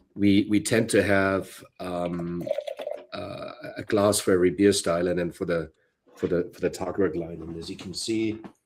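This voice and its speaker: A man with a German accent and a very deep, low pitch speaks in fairly even intonation, his loudness swinging widely. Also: moderate pace. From Bavaria, Germany. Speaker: brewery co-founder and brewer. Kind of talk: interview.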